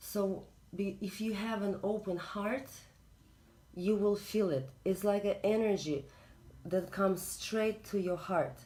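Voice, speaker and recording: With a Russian accent, a woman talks fairly slowly and leaves long, frequent pauses. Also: medium pitch for a woman, ordinary pitch variation. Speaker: spiritual reader. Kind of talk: spiritual talk. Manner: halting.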